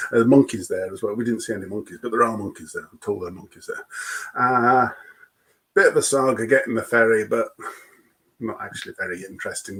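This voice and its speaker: A man with a British accent talks at a very fast pace, his loudness swinging widely. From UK. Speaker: expedition vehicle owner. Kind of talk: testimony. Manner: repeats words often, halting.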